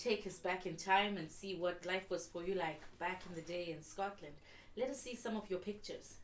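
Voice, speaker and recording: Here is a woman with a plain, everyday voice. Her pitch is medium and her pace moderate. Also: ordinary pitch variation. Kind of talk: interview host introduction.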